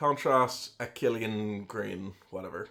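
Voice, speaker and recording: A man's bright, sharp voice at medium pitch, delivered at a very slow pace. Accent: Irish. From Ireland. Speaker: streamer. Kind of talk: casual chat. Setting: live stream. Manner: chatty.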